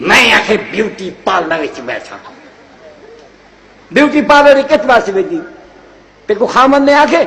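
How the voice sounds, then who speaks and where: Theatrical and lively in intonation, the voice carries a Saraiki accent. Noticeable background noise sits behind it. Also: man, extremely high pitch for a man. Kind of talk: comic sermon-style speech in Saraiki about husbands and wives. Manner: humorous, theatrical.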